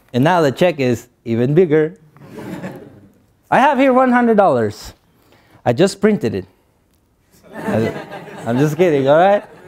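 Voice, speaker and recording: At a moderate pace and with a Spanish accent, a man speaks in a fairly high pitch with very wide pitch swings and long, frequent pauses. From Guatemala. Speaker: motivational speaker. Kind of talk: motivational speech.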